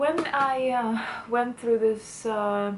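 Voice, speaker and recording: Over noticeable background noise, a woman speaks very slowly in a fairly high pitch with ordinary pitch variation. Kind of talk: casual talk to camera.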